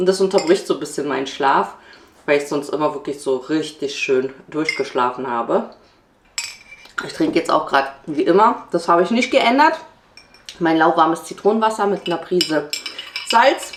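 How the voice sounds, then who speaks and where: Over noticeable background noise, a woman with a fairly low pitch speaks at a moderate pace, her voice making very wide pitch swings between long, frequent pauses. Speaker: family vlogger. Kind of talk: vlog monologue. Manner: casual.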